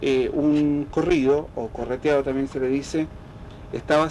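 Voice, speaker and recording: Over noticeable background noise, a man speaks at a fairly slow pace. His fairly high voice is monotone and flat. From Chile, rural Linares province. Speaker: folk musician and researcher. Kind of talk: radio interview. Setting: at his home.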